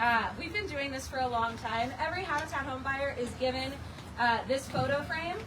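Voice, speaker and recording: The voice is loud, delivered at a moderate pace with ordinary pitch variation. Room echo is audible and background noise is noticeable. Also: woman, high pitch for a woman. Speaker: nonprofit volunteer coordinator. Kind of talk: ceremony speech. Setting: outdoors, rain.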